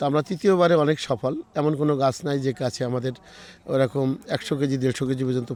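A man with a fairly high pitch talks in a normal speaking voice. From Bangladesh, Jessore district. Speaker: orchard owner. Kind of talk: interview.

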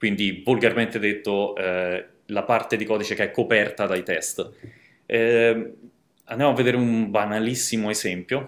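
Pausing long and often, a man talks at a moderate pace with fairly even intonation. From Rome, Italy; Italy. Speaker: software developer, conference speaker; conference speaker. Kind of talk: conference talk. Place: home room.

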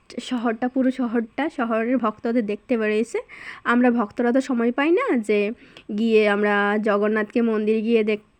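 A woman's fairly high voice, monotone and flat in intonation, very even in loudness, with a dry, close sound and no echo. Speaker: vlogger. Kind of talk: vlog narration. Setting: outdoors at a chariot festival.

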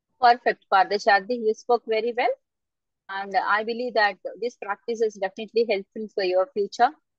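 Here a woman speaks with a fairly high pitch at a fairly quick pace. The sound is dry, with no echo. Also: fairly even intonation, quiet background. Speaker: external examiner. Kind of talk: examiner feedback to student. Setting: video call. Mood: encouraging, advising. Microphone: video call.

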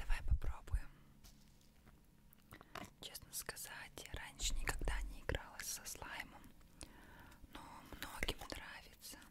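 A woman is whispering at a very slow pace, with long, frequent pauses. Her loudness swings widely. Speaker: ASMR content creator. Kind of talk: ASMR relaxation video, close whisper. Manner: whispered, soft. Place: home room. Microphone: studio mic.

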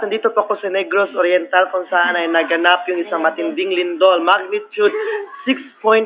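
A man delivers his words at a moderate speed, with noticeable noise behind him. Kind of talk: playful mock interview. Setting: classroom. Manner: animated, laughing often.

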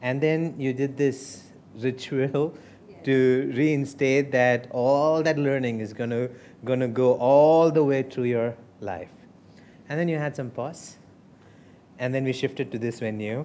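A man speaks at a fairly slow pace in a dark, mellow, soothing, warm tone with fairly even intonation. He leaves long, frequent pauses over light background noise. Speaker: hypnosis and personal development trainer. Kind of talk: hypnotic induction demo, storytelling recap in a hypnosis-style pattern. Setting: live seminar room with participants. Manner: slow, soothing, rhythmic, warm and reassuring, with pauses; formal-ish, persuasive, repetitive 'you' language. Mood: warm, smiling, upbeat. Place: meeting room.

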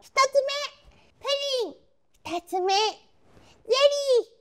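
An upbeat, put-on character voice, female-sounding, with extremely high pitch and a fairly slow pace. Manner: cutesy, upbeat.

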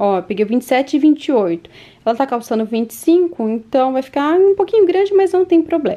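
A woman speaks at a fairly slow pace in an animated tone. Her high pitch swings very widely. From Curitiba, Paraná, southern Brazil; Paraná, Brazil. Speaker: mom vlogger. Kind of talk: vlog show-and-tell. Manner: chatty, animated. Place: home room. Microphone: phone near.

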